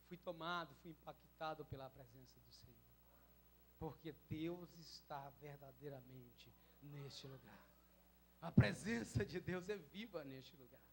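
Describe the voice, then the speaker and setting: Somewhat breathy, a man talks at a fairly slow pace with big swings in loudness and long, frequent pauses. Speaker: pastor. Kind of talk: sermon. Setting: church.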